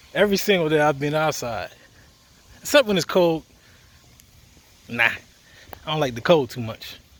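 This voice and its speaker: With an American accent, a man talks in a fairly high pitch with lively intonation and long, frequent pauses, against noticeable background noise. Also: moderate pace. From US Virgin Islands, left at eight, grew up in Maryland, US. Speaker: fitness instructor. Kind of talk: casual vlog while walking. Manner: casual, with filler words.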